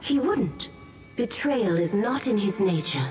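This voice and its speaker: A female-sounding voice at a medium pitch for a woman puts on a character voice, moving at a fairly slow pace with clear music in the background. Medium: actual play. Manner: warm, gentle.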